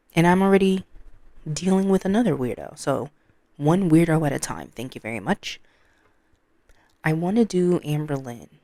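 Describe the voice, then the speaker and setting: Her tone dark and mellow, a woman speaks at a moderate pace with lively intonation. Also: fairly low pitch for a woman. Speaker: reaction youtuber. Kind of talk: reaction commentary. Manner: loud.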